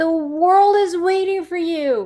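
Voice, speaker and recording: A woman with a Spanish accent. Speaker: women's leadership speaker. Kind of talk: motivational talk with Q&A. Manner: occasionally halting, searching for words.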